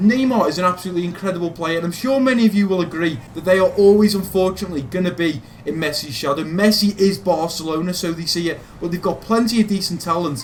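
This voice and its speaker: Very fast delivery with hardly any pauses, a Liverpool accent and noticeable background noise. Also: man, high pitch for a man, ordinary pitch variation. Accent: Liverpool (Scouse). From Liverpool, England. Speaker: gaming youtuber. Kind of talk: casual Q&A monologue.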